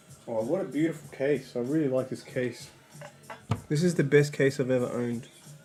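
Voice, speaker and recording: Against noticeable background noise, a man of medium pitch talks at a fairly quick pace. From Australia. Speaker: gaming streamer. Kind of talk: casual live stream chat. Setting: live stream at home. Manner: animated.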